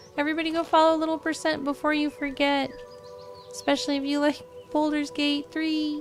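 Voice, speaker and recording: Over music in the background, a woman speaks fairly quickly at a high pitch with fairly even intonation. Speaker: video game streamer. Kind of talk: casual live gameplay commentary. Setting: livestream.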